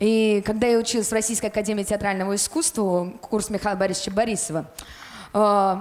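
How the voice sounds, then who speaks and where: A woman at a fairly quick pace, her loudness very even. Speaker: guest. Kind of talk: storytelling talk on TV show. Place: studio. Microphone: handheld.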